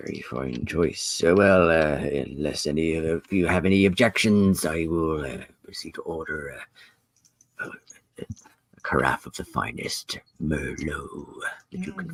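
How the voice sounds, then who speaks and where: Putting on a character voice, a man speaks with a very deep, low pitch. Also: moderate pace. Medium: actual play. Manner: hesitant, full of filler sounds; old-fashioned courtesy.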